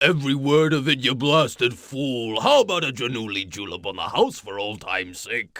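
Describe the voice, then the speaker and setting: On a very clean recording with a silent background, a man does a put-on character voice at a moderate pace. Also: medium pitch for a man, lively intonation. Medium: video game. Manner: gruff, jocular.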